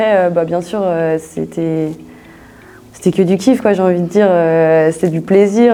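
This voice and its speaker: A woman speaks at a moderate pace. Her pitch sits in the middle and her intonation is fairly even. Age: 20s. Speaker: business school student. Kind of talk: interview. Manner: hesitant, many fillers; casual.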